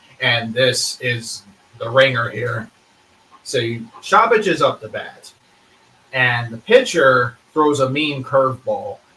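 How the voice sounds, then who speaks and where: Over noticeable background noise, a man talks at a very slow pace with long, frequent pauses, his medium pitch showing ordinary variation. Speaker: podcast guest. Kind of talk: casual podcast conversation.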